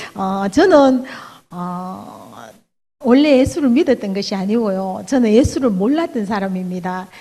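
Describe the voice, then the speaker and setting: With a strong Daegu accent, a woman speaks fairly slowly at a medium pitch, her tone dark and mellow and her intonation lively, in audible room echo. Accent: Gyeongsang (Daegu) dialect, fairly strong. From Daegu, South Korea. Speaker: church elder, hairdresser. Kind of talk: testimony sermon. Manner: halting, many fillers.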